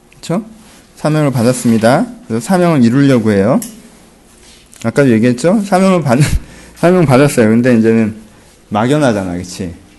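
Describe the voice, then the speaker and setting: A man with a medium pitch and lively intonation talks at a fairly quick pace, stopping for long, frequent pauses. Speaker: pastor. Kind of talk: Bible study teaching. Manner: animated.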